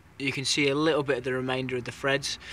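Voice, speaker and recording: The speaker has a British accent. The intonation stays monotone and flat. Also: man. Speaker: hobbyist engine restorer. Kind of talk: tutorial. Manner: fast. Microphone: poor camera.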